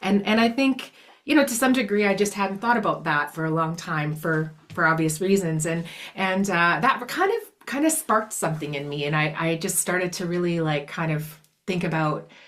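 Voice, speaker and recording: A woman speaks with a Canadian accent over noticeable background noise. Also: fairly low pitch for a woman, lively intonation, moderate pace. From Canada, small farming community. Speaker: blues singer-songwriter. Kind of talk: interview conversation. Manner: halting, many fillers.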